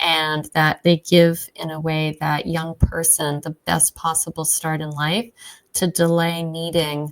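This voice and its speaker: Monotone, flat intonation at a very slow pace. The sound is dry and close with no echo, in a very clean recording with a silent background. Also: woman, fairly low pitch for a woman. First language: Czech. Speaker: biotech scientist and skincare founder. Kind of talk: interview. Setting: in person. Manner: frequent fillers (um, uh).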